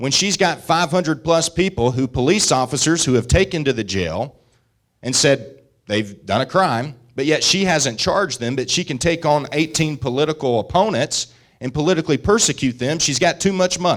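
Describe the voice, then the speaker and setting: In a Southern US accent, the speaker talks at a moderate pace with lively intonation on a very clean recording with a silent background. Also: man, fairly high pitch for a man. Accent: Southern US (Georgia). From US South, rural northwest Georgia mountains. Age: 30s. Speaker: state senator. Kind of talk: political speech.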